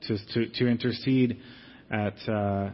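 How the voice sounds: With fairly even intonation, a man speaks at a medium pitch.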